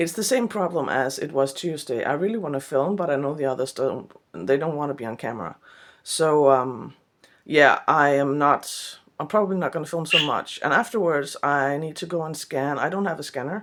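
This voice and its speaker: A woman with a Danish accent at a moderate pace, ordinary pitch variation, on a very clean recording with a silent background. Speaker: artist. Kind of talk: vlog. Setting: studio. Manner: halting.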